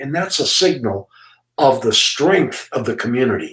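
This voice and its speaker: Intonation rises and falls in a lively way. There is a somewhat breathy quality to the voice. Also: man. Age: 80s+. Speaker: retired school principal. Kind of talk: interview. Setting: office. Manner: halting.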